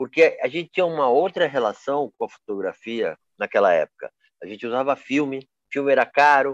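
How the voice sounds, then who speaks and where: Recorded with a dry, close sound and no echo, a man speaks at a fairly high pitch and a fairly quick pace. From Brazil, Campinas (São Paulo state). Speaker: photographer. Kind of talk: casual interview. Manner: halting, with many repetitions and fillers.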